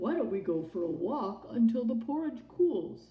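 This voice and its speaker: A woman puts on a character voice at a medium pitch. Her pace is moderate. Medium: read story.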